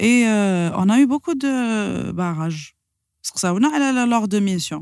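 Using an ordinary speaking voice, a woman with a fairly high pitch speaks at a fairly quick pace with lively intonation. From Algeria, Sidi Bel Abbes. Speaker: singer of Andalusian music and business owner. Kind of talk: casual interview chat.

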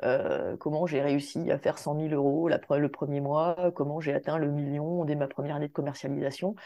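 The speech runs with hardly any pauses in a monotone, flat intonation. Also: woman, very deep, low pitch for a woman, moderate pace. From Réunion, Saint-Denis. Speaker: cosmetics brand founder. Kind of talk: interview.

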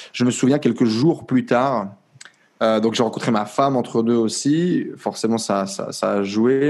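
At a fairly slow pace, a man talks with a medium pitch and ordinary pitch variation. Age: 20s. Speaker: entrepreneur. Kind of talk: casual chat. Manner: animated.

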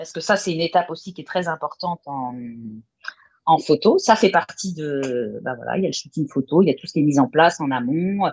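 A woman with an ordinary speaking voice talks at a fairly quick pace and a fairly low pitch, with ordinary pitch variation and big swings in loudness. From Brittany, France. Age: 40s. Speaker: chef and food photographer. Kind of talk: casual interview.

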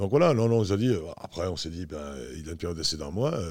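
The recording is very clean, with a silent background. A man with a very deep, low pitch talks at a very fast pace. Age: 60s. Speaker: basketball coach. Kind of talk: interview. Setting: at his home. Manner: hesitant, many fillers.

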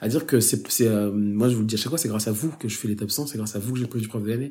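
A man talks at a very fast pace in a somewhat breathy voice with a dark, mellow tone. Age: 30s. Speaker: advertising creative director and teacher. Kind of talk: casual interview chat.

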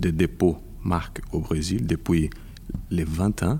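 The man has a Brazilian accent and a very deep, low pitch. His tone is dark and mellow. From Brazil (Rio de Janeiro). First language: Portuguese (speaking French). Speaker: intellectual property lawyer. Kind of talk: interview. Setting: convention center. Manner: halting.

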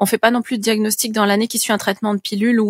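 Very fast and monotone, a woman speaks at a medium pitch with flat intonation, the sound dry and close with no echo. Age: 30s. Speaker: patient advocate. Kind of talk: interview. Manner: halting.

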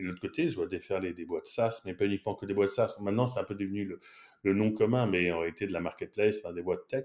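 A man's fairly low voice at a fairly quick pace, in a very clean recording with a silent background. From France, Paris. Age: 30s. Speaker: marketing executive. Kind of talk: interview. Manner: animated.

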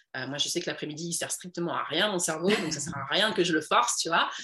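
Speaking very fast, a woman with a fairly low pitch sounds energetic. Noticeable background noise runs behind her. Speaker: entrepreneur and women's coach. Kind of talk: casual interview.

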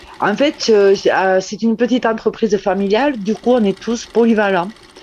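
There is noticeable background noise as a woman speaks fairly slowly with ordinary pitch variation. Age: 50s. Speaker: glove maker. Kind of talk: interview. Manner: halting.

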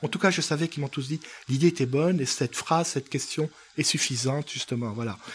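A man with a fairly high pitch and ordinary pitch variation talks very fast. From Africa. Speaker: painter. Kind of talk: interview.

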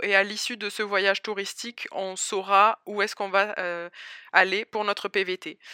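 In a southern French accent, a bright, sharp voice speaks at a moderate pace in a dry, close, very clean recording with a silent background and no echo. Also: woman. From southern France, Albi near Toulouse. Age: 20s. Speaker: immigrant entrepreneur. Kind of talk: interview testimony.

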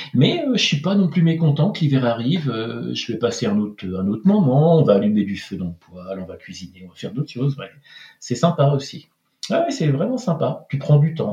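This man's fairly high voice swings very widely in pitch as he talks at a fairly quick pace. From France, Pays de la Loire (Angers). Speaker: French expatriate in Norway. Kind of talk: casual interview chat. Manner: hesitant, many repetitions and fillers.

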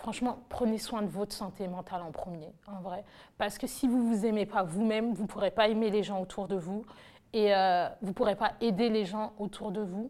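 A woman speaks at a moderate pace with fairly even intonation and a medium pitch. Her tone is dark and mellow, on a very clean recording with a silent background. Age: 20s. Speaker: nurse. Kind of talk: testimony. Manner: casual.

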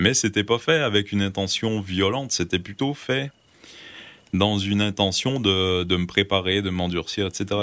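This man has a very deep, low voice. His pitch varies in an ordinary way and his pace is moderate. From Quebec, Gaspésie. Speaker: survival instructor and writer. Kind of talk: casual interview. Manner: hesitant, with frequent fillers.

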